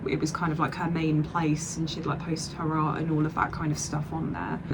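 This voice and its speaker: A woman speaks in a southern English accent at a very deep, low pitch. Audible room echo and noticeable background noise fill the recording. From Southeast England. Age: 20s. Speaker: vlogger and digital artist. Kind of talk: casual vlog chat. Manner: hesitant, many fillers.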